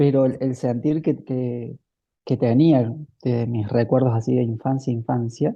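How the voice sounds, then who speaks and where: A man talks at a fairly slow pace in a normal speaking voice. His pitch is medium and his intonation fairly even. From Argentina, Córdoba. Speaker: spiritual teacher. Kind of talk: casual chat.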